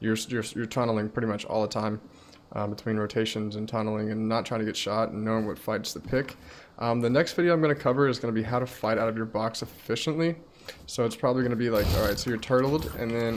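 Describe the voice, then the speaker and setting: Fairly even intonation runs through delivery at a very fast pace. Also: man. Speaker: gaming streamer. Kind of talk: tutorial. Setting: recording live while gaming. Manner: halting, many ums.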